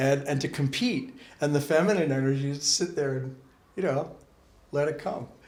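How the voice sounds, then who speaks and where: This man's voice sits at a fairly high pitch and sounds somewhat breathy. His pitch moves in an ordinary way. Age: 60s. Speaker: Sikh spiritual teacher. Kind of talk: interview. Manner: animated.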